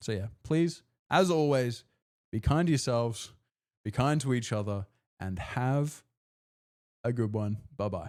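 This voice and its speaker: On a very clean recording with a silent background, a man at medium pitch speaks fairly slowly with lively intonation and long, frequent pauses. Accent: Australian. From Australia. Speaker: personal trainer and streamer. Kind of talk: live stream sign-off. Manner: animated.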